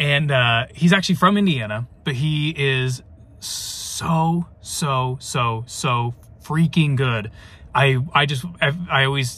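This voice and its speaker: With ordinary pitch variation, the voice comes through in a dry sound with no echo. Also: man. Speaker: family vlogger. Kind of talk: casual vlog chat. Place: car. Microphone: phone near.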